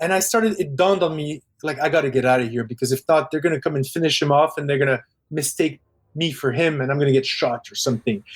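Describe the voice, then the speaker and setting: A man with a Parisian accent talks at a very fast pace in a fairly high, somewhat breathy voice. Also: ordinary pitch variation. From Quebec, English part of town, French family. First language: French. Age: 40s. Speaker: film director. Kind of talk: casual interview chat.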